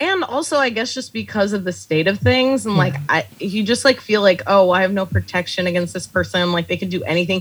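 A woman's medium-pitched voice with lively intonation at a very fast pace, over noticeable background noise. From Texas, El Paso. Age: 30s. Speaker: comedy writer and bartender. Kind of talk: casual interview chat.

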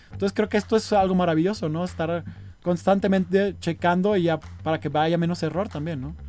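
A man speaks with a high pitch and a dark, mellow tone. His pace is fairly quick and his intonation lively. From Mexico, Sinaloa (Culiacán). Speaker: photographer. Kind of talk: casual interview chat.

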